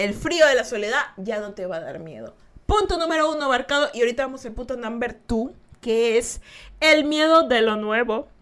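In an animated tone, a woman speaks at a moderate pace with a fairly high pitch and lively intonation. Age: 20s. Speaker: podcast host. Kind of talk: casual chat. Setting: live stream.

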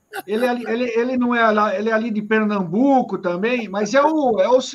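Against noticeable background noise, a man speaks at a moderate pace in an extremely high pitch. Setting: video call.

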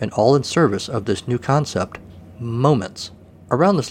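Pitch varies in an ordinary way throughout this plain reading aloud.

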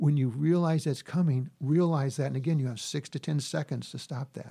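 A man's somewhat breathy voice has a dark, mellow tone and a fairly high pitch with ordinary variation, captured in a very clean recording with a silent background. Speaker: conflict resolution consultant and mediator. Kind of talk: interview. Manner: fast.

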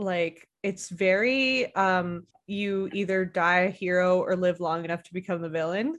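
In a Canadian accent, an unremarkable speaking voice talks at a fairly slow pace with fairly even intonation, big swings in loudness and hardly any pauses. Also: woman, medium pitch for a woman. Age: 30s. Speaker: podcast host. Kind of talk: casual chat.

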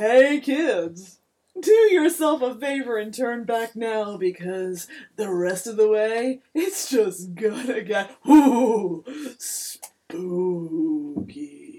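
In a booming, put-on character voice, the speaker moves at a very slow pace with very wide pitch swings. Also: woman, fairly high pitch for a woman. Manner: ominous, playful, mocking.

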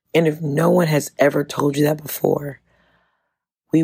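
In an American accent, a woman speaks at a fairly slow pace with a very deep, low pitch, a dark, mellow tone, monotone, flat intonation and a somewhat breathy sound. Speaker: podcast host. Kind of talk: motivational talk.

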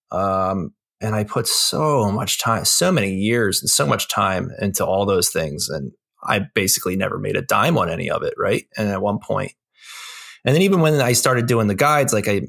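A man speaks at a moderate pace. His is an unremarkable speaking voice. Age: 40s. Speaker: graphic designer and game guide author. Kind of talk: casual chat.

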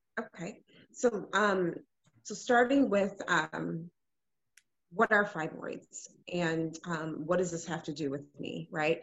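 In a normal speaking voice, a woman with an American accent talks at a fairly slow pace, her fairly low pitch showing ordinary variation. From Illinois, US Midwest; Ghanaian family. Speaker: nurse and fibroids advocate. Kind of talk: podcast interview.

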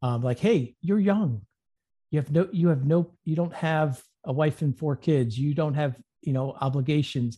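A man with a fairly high pitch and a dark, mellow tone speaks somewhat breathily against a quiet background. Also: ordinary pitch variation, moderate pace. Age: 50s. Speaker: insurance agent. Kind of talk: interview.

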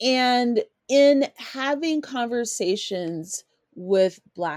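Her fairly high voice swinging very widely in pitch, a woman speaks in a dry, close sound with no echo. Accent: American. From US West, Colorado. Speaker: podcast host. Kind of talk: solo commentary podcast.

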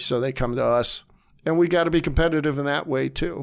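With an Ohio accent, a man speaks at a moderate pace in a fairly high pitch with ordinary pitch variation, in a very clean recording with a silent background. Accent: Midwestern American (Ohio). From northeast Ohio, Warren. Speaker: comic book store owner. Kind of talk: casual interview. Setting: studio.

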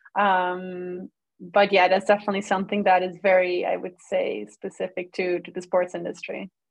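A woman speaks at a moderate pace with a Dutch accent, her intonation flat and monotone. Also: medium pitch for a woman. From Netherlands. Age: 20s. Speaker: sports lawyer. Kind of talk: casual interview.

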